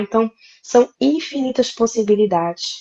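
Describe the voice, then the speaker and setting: A woman speaks in a Recife accent with ordinary pitch variation. The sound is dry and close, with no echo. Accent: Pernambuco (Recife). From Brazil, interior of Pernambuco. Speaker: lawyer. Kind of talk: live interview.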